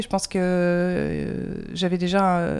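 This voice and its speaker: A woman talks at a medium pitch. The recording is very clean and the background silent. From France. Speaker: comics artist. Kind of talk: interview. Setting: in-person interview in Montreal.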